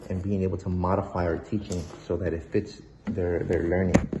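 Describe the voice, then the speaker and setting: Speaking at a moderate pace, a man uses a very deep, low pitch. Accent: Spanish. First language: Spanish. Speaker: behavior analyst. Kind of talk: presentation. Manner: hesitant, many fillers.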